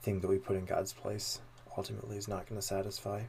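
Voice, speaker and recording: At a moderate pace, a man speaks in a somewhat breathy voice with a fairly low pitch and monotone, flat intonation. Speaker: podcast host. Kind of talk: discussion of theology, casual chat.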